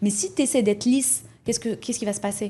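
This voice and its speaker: The voice is somewhat breathy. Its pitch moves up and down an ordinary amount. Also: woman. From Morocco. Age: 30s. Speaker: entrepreneur. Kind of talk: podcast interview.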